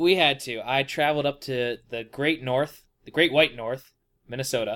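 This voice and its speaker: A man with an American accent speaks at medium pitch in a bright, sharp tone. His intonation stays fairly even while his loudness swings widely. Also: moderate pace. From rural wooded US state. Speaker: podcast co-host. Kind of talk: casual chat.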